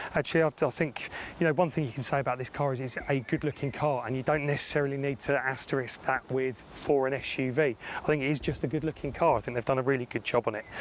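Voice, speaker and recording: Talking at a very fast pace, a man with a British accent keeps a medium pitch and fairly even intonation. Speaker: car reviewer. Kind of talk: product review walkaround. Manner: casual, frequent fillers.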